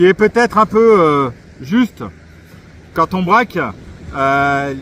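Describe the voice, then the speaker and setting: A man with a high pitch and lively intonation speaks very slowly in a dry, close sound with no echo. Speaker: RC model reviewer. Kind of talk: product review. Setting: outdoors at the beach. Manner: loud; hesitant with fillers.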